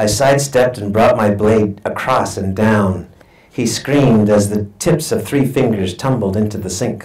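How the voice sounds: The pitch in this natural reading voice varies in an ordinary way.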